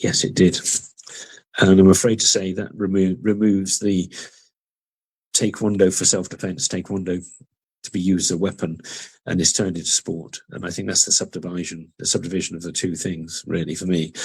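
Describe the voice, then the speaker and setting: A man with a very deep, low pitch talks at a fairly quick pace in a monotone, flat intonation, broken by long, frequent pauses. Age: 60s. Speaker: martial arts master and referee. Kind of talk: webinar talk. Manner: hesitant, many fillers.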